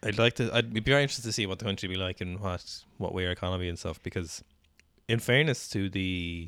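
A man in an Irish accent, very deep and low in pitch, very fast, with ordinary pitch variation, on a very clean recording with a silent background. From Ireland. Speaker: podcast co-host, CrossFit athlete. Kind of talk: casual chat.

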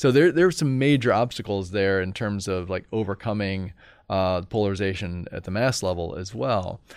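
An ordinary speaking voice in an American accent moves at a moderate pace with ordinary pitch variation, the recording very clean and the background silent. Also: man, fairly low pitch for a man. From Indiana, US Midwest. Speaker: political science professor. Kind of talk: interview conversation.

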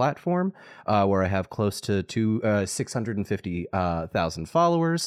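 Moving at a very slow pace, a man's fairly low voice makes very wide pitch swings. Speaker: social media content creator. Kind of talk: casual chat. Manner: animated.

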